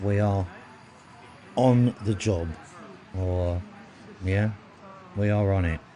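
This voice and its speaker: Over noticeable background noise, a man with a southern English accent and a fairly low pitch speaks at a very slow pace with long, frequent pauses, fairly even intonation and very even loudness. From England, north of London. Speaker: live stream host. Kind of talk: live stream commentary.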